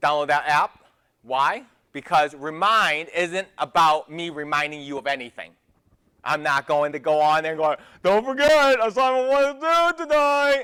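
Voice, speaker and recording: This man's voice sits fairly high and has a bright, sharp tone. His delivery is animated, with lively intonation. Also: moderate pace. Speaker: college math professor. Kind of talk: lecture. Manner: casual, animated.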